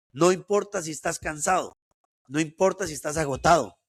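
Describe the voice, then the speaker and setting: Vocal fry marks this man's fairly high voice as he speaks at a fairly quick pace. The sound is dry and close with no echo, in a very clean recording with a silent background. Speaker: entrepreneur and motivational speaker. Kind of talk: interview.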